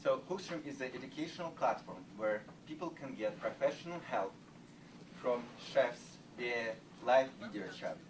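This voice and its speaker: With a Russian accent, the speaker moves at a moderate pace, using very wide pitch swings, big swings in loudness and long, frequent pauses, over noticeable background noise. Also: man, fairly high pitch for a man. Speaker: startup founder. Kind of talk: sales pitch. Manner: halting.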